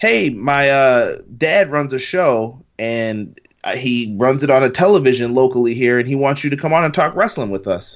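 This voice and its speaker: Using an ordinary speaking voice, a man talks at medium pitch and a moderate pace with lively intonation. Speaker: wrestling fan. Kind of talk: casual chat.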